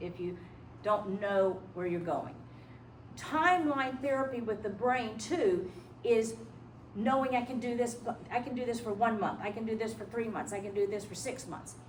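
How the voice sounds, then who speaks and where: Speaking at a moderate pace with ordinary pitch variation, a woman with a fairly high voice is heard amid audible room echo. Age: 70s. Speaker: hypnotherapist and life coach. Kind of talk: lecture.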